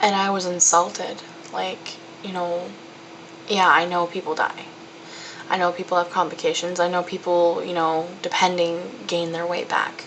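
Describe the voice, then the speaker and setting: Against noticeable background noise, a woman speaks at a fairly low pitch and a moderate pace. Her intonation is monotone and flat, with long, frequent pauses. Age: young. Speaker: college student. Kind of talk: personal video diary. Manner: casual, candid.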